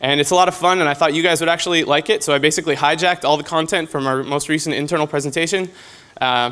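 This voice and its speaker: This man talks at a very fast pace with fairly even intonation. His voice is fairly high in pitch, with a bright, sharp tone. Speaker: game designer at a convention. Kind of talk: conference presentation.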